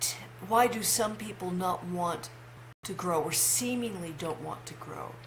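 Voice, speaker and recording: With lively intonation and a fairly slow pace, a woman speaks amid noticeable background noise and audible room echo. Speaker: life coach. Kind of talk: vlog monologue. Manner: halting.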